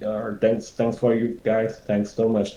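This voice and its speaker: The tone is dark and mellow. It carries a Thai accent. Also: man. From Thailand. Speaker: environment concept artist. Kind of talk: webinar Q&A. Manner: halting.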